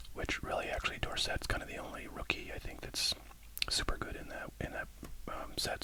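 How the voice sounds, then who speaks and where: Whispering at a fairly quick pace, a man comes through over noticeable background noise. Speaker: ASMR sports card collector and YouTuber. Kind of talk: casual talk to camera about card collecting.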